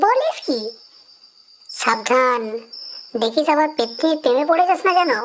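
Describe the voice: Using a cartoonish character voice, a woman speaks at a moderate pace in a high pitch with lively intonation.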